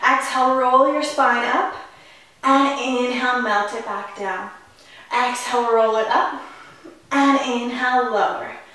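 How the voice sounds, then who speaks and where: A woman's high-pitched voice with fairly even intonation, long, frequent pauses and strong room echo. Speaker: fitness instructor. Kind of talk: workout instruction cues. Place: home room.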